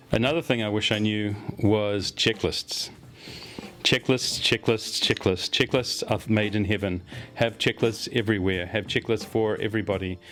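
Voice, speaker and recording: A man with a New Zealand accent talks at a fairly low pitch with fairly even intonation and very even loudness over noticeable background noise. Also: moderate pace. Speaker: agile consultant. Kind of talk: expert advice talk to camera.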